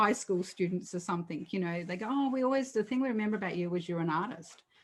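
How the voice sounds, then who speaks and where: Her pitch is medium and varies in an ordinary way as this woman speaks with an Australian accent. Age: 60s. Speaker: artist. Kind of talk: interview.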